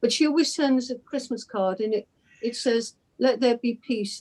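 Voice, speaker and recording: At a moderate pace, a woman speaks in a fairly high pitch with ordinary variation and a dark, mellow tone. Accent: English. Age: 80s+. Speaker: discussion group member. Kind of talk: group discussion.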